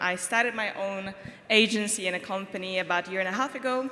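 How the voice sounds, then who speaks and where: In a Czech accent, a woman with a medium pitch speaks at a fairly quick pace over noticeable background noise. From Czech Republic, Prague. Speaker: marketing agency founder. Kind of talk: panel discussion.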